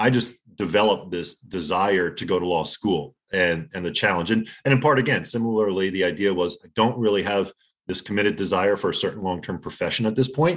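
A man talks at a fairly quick pace, his fairly low pitch showing ordinary variation. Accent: New Jersey. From New Jersey. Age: 40s. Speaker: former lawyer, poker player. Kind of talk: casual interview. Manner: halting.

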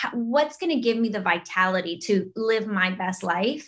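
Here a woman with an unremarkable speaking voice talks at a moderate pace, fairly high in pitch with lively intonation. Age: 30s. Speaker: fitness and wellness entrepreneur. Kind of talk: casual chat.

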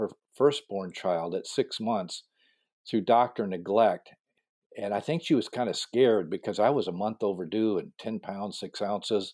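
A man with a normal speaking voice, medium pitch and lively intonation at a fairly slow pace, on a very clean recording with a silent background. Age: 60s. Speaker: pastor and coach. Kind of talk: interview.

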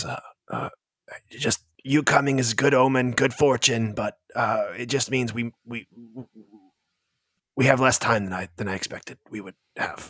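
A man's put-on character voice, raspy and medium in pitch, with big swings in loudness, fairly even intonation, a moderate pace and long, frequent pauses. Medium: actual play. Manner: halting, hesitant, repetitive.

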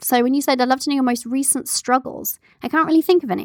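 Dry and close with no echo, a woman's voice comes through in an animated tone. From England (moved from Canada at age five). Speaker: podcast host, business coach. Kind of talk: casual Q&A monologue. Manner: animated, laughs often.

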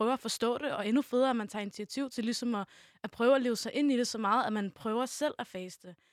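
This woman's fairly high voice moves at a very fast pace, recorded dry and close with no echo. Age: young. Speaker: youth media volunteer. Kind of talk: casual chat.

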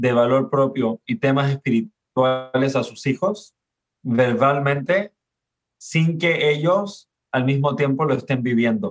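This man speaks at a very slow pace with fairly high pitch. His pitch variation is ordinary, and the sound is dry and close with no echo. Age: 40s. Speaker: father and parenting speaker. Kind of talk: casual interview.

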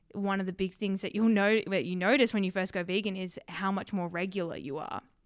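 On a very clean recording with a silent background, a woman with an Australian accent speaks with fairly even intonation. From Western Australia. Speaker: vegan social media creator. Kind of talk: casual interview.

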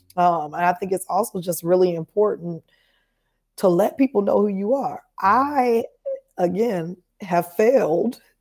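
In an American accent, a woman with an unremarkable speaking voice talks fairly slowly at a medium pitch, her intonation lively. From Chicago, US Midwest. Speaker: entrepreneur and digital marketer. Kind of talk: casual interview. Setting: live-streamed podcast.

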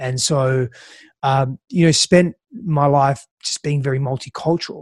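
The voice is somewhat breathy with fairly even intonation, recorded dry and close with no echo. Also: man. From Australia. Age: 30s. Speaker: relationships coach. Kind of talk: interview conversation.

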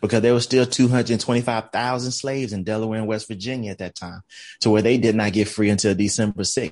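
An ordinary speaking voice: a man with an American accent, fairly low pitch, fairly even intonation, big swings in loudness and a fairly quick pace, against a quiet background. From US South, Columbus, Georgia. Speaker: recruitment company founder and diversity consultant. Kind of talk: casual interview.

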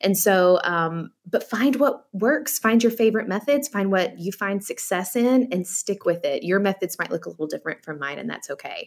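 An unremarkable speaking voice moves at a moderate pace with lively intonation and hardly any pauses. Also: woman, medium pitch for a woman. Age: 40s. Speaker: author. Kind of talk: radio interview.

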